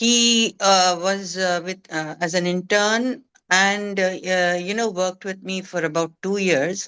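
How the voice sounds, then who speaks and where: A woman with a bright, sharp tone speaks at a medium pitch and a fairly slow pace, with fairly even intonation, hardly any pauses, and a quiet background. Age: 60s. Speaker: business owner. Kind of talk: Q&A question. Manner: halting, many fillers.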